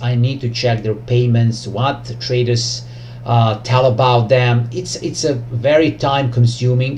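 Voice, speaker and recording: The speech has fairly even intonation, with noticeable background noise and audible room echo. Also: man. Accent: Serbian. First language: Serbian. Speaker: trading educator YouTuber. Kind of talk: tutorial. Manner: halting, many fillers.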